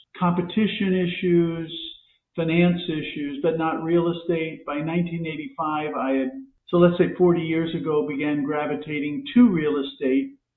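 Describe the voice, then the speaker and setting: Fairly high male voice with an American accent, fairly even intonation and a moderate pace, with audible room echo. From US Midwest, Ohio. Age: 70s. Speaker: economist and real estate professor. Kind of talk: podcast interview.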